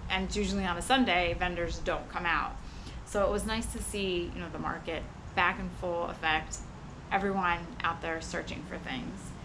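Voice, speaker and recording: The woman talks at a moderate pace, with noticeable background noise around her. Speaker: vlogger. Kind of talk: casual vlog chat. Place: street. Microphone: camera far.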